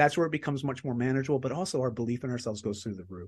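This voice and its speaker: Lively intonation marks this somewhat breathy voice with a Canadian accent. The background is quiet. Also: man. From Canada. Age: 40s. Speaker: author and performance coach. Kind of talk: casual interview chat.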